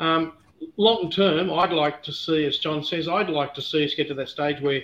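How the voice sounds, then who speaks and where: With an Australian accent, a man speaks at a fairly quick pace in a fairly high pitch with fairly even intonation over noticeable background noise. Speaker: whisky distiller. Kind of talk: casual chat.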